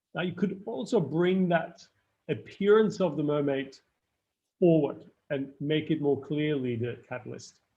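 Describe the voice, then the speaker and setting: A fairly slow pace, with pitch varying in an ordinary way. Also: man. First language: not English. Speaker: screenwriting lecturer. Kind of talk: live online workshop feedback. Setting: live stream. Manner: halting, many fillers and restarts.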